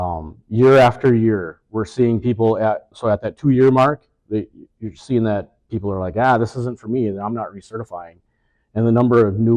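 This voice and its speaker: In a plain, everyday voice, a man talks at a moderate pace with fairly low pitch and ordinary pitch variation, the sound dry and close with no echo against a quiet background. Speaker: EMS manager. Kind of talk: informal presentation.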